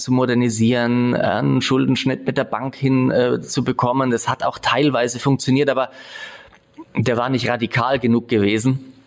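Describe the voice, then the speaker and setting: Over noticeable background noise, a man of medium pitch speaks at a moderate pace. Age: 40s. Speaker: entrepreneur. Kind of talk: interview. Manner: hesitant fillers.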